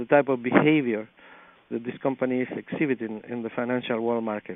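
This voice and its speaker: At a very fast pace, a man talks in a monotone, flat delivery at a medium pitch. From Chile. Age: 50s. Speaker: miner. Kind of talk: podcast interview answer. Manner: gentle, soft-spoken.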